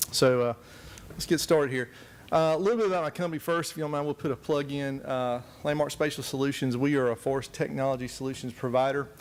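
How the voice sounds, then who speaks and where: A man with a Southern US accent, very fast delivery and ordinary pitch variation. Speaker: forestry technology specialist. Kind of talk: conference presentation. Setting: conference room with audience. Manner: soft-spoken; hesitant, many fillers.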